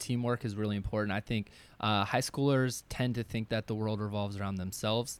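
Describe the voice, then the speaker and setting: A man with a medium-pitched, ordinary speaking voice and an American accent talks at a fairly quick pace on a very clean recording with a silent background. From rural Maryland. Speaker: college counselor and middle school educator. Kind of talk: casual panel chat.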